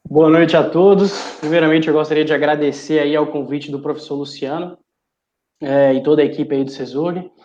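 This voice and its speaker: This man talks at a fairly quick pace. His fairly high voice stays monotone and flat. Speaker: irrigation industry professional. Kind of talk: webinar presentation. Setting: live stream.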